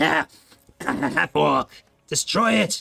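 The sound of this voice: In a put-on character voice, the speaker sounds raspy and hissing at a low-to-middle pitch.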